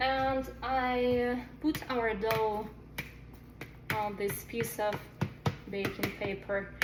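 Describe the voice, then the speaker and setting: A woman with a non-native accent speaks at a fairly high pitch and very slowly, with long, frequent pauses and very even loudness, in a room with audible echo and noticeable background noise. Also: ordinary pitch variation. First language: not English. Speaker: cooking video host. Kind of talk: cooking tutorial. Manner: halting.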